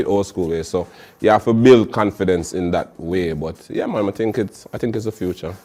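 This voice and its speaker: This man has a dark, mellow tone and a fairly low pitch. He talks at a fairly quick pace with ordinary pitch variation. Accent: Jamaican. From Jamaica. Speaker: dancehall artist. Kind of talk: interview answer.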